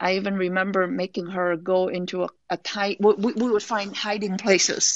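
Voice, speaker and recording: A woman with a Vietnamese accent speaks at a fairly slow pace. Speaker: author. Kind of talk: casual interview.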